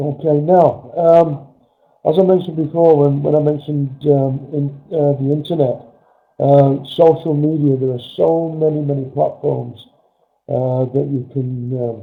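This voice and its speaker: A man speaks with an English accent at a fairly slow pace, his fairly high pitch carried on fairly even intonation. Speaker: network marketing trainer. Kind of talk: webinar training presentation. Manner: halting with many fillers.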